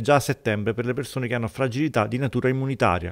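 A man talking at a very fast pace. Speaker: news reporter. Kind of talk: news reading.

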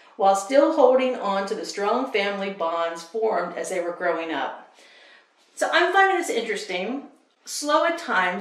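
Lively intonation from a woman with a warm tone, at a moderate pace, with audible room echo. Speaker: book vlogger. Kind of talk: casual vlog talk to camera. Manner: warm, chatty. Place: home room. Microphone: camera far.

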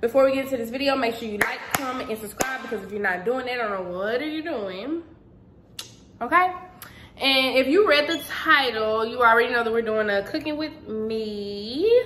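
With light background noise behind her, a woman speaks at a moderate pace in a high pitch with ordinary pitch variation. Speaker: home cooking vlogger. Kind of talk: casual vlog chat. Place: kitchen. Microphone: phone near.

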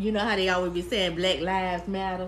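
Speaking at a fairly quick clip, a woman keeps her fairly low pitch in a fairly even intonation.

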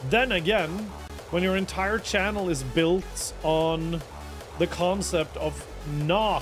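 A man speaking at a very slow pace, with clear music in the background. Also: very even loudness. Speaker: livestreamer. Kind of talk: casual stream chat. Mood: relaxed, playful. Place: home room. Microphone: studio mic.

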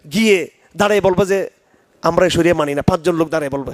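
A man talks in an animated tone. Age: 50s. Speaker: Islamic scholar. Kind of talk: religious lecture with Q&A.

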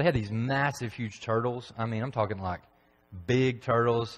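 Ordinary pitch variation marks a man's fairly quick pace. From Tennessee, McMinnville; Tennessee. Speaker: preacher. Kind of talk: sermon. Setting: church. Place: church.

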